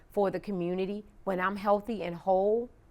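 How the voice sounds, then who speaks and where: Against a silent background on a very clean recording, an ordinary speaking voice proceeds at a moderate speed. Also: woman. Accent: American. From Washington DC (Southeast). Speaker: county official, former police officer. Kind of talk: interview.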